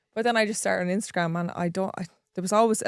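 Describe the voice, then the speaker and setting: On a very clean recording with a silent background, a woman speaks with fairly even intonation in a dry, close sound with no echo. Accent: strong Irish. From rural Ireland. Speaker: content creator. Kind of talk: podcast interview.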